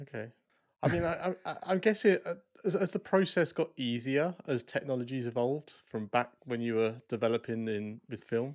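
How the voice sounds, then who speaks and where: Moving at a moderate pace, a man has a plain, everyday voice. His pitch is medium and his intonation is lively. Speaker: podcast host. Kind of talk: casual interview.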